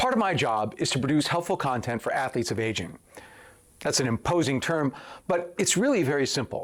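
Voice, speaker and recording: In a normal speaking voice, a man talks at a fairly quick pace with a fairly high pitch, lively intonation and very even loudness. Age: 60s. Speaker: strength coach and physician. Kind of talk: scripted talk to camera. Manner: formal.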